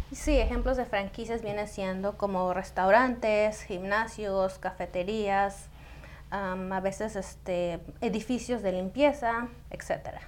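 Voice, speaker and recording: A woman talks very slowly, her medium pitch paired with fairly even intonation. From Indianapolis, US. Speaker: franchise industry expert. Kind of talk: interview. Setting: live stream.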